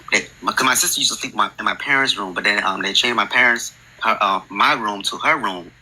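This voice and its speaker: Noticeable background noise behind a man talking at a very fast pace. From New Jersey, Newark area. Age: 20s. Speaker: podcast guest sharing a ghost story. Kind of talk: personal storytelling on a call-in podcast. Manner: halting, many fillers.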